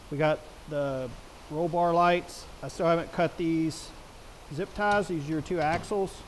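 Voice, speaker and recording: Loud and high-pitched, a man speaks at a fairly slow pace with fairly even intonation and long, frequent pauses. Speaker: product reviewer. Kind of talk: tutorial. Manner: casual.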